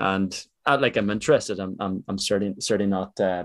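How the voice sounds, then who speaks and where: Fairly quick and fairly low-pitched, a man speaks with an Irish accent and fairly even intonation. The recording is very clean, with a silent background. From Ireland. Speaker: podcast host. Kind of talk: interview.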